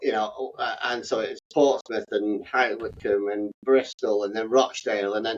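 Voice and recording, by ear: Fairly even intonation marks a man's delivery at a moderate pace. His pitch sits fairly low.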